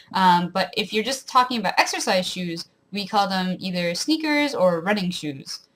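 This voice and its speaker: A woman speaks with an Ontario accent at a moderate pace. Her pitch is medium and her intonation lively. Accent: mild rural Ontario Canadian. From rural southwestern Ontario, Canada. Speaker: vlogger. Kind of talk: casual talk to camera.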